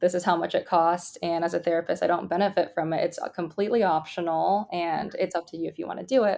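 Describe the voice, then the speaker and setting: Speaking very fast with hardly any pauses, a woman with an American accent uses a dark, mellow tone at a fairly low pitch and fairly even intonation, on a very clean recording with a silent background. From US West Coast, San Francisco Bay Area. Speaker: tech startup founder. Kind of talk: interview.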